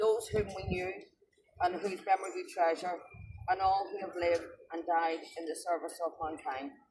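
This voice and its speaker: The speaker has a Northern Irish accent and a moderate pace. Long, frequent pauses run through the speech. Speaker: ceremony leader. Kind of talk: remembrance ceremony address.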